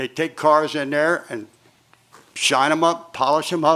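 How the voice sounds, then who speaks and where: This man speaks at a fairly slow pace. His intonation is monotone and flat. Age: 80s+. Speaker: retired resident complaining. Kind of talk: public comment at city board meeting.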